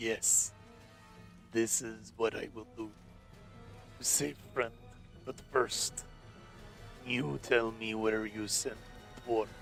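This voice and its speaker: In a put-on character voice, a man speaks very slowly at a medium pitch, guttural, with long, frequent pauses. Clear music plays in the background. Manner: muttering, stern.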